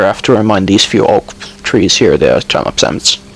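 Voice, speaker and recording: At a moderate pace, a man talks while noticeable background noise carries on behind him. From Finland. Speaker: gaming YouTuber. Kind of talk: voice-over commentary. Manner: hesitant, many fillers. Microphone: poor quality mic.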